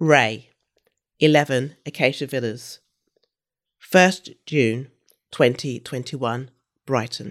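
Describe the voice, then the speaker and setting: On a very clean recording with a silent background, a woman in a London accent speaks at a very slow pace with a very deep, low pitch and long, frequent pauses. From London, England. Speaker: novelist. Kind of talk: reading aloud; casual chat.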